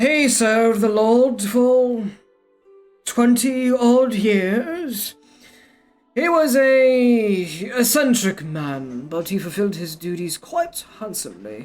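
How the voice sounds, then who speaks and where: A put-on character voice comes out gruff and strained at a fairly high pitch and a very slow pace. Faint music plays in the background. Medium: virtual streamer. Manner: gossipy, conspiratorial.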